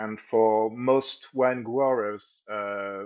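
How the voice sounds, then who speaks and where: This man talks with a French accent. His intonation is fairly even. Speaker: local journalist. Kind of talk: live stream interview. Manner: halting, repeats words.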